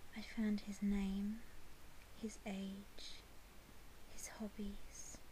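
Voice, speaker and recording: A soft-spoken woman talks very slowly at a medium pitch, with monotone, flat intonation and long, frequent pauses. Noticeable background noise runs underneath. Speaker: ASMR whisper creator. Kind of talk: softly spoken personal story.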